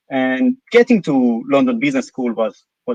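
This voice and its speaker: With an Israeli accent, a man talks at a moderate pace with very wide pitch swings. The recording is dry and close, with no echo. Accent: non-British, Israeli. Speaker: company CEO. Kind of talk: live interview. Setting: live stream. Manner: hesitant, many fillers.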